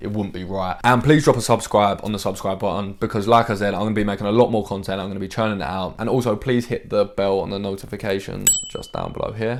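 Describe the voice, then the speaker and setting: In an English accent, a man speaks very fast with hardly any pauses, his pitch fairly low and his intonation fairly even. The recording is very clean, with a silent background. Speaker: fitness coach and YouTuber. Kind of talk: casual vlog to camera. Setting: bedroom at home. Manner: loud.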